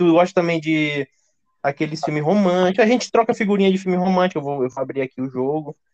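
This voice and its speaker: The man talks at a very fast pace and a high pitch, the sound dry and close with no echo. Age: 20s. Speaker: podcast host. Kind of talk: casual chat.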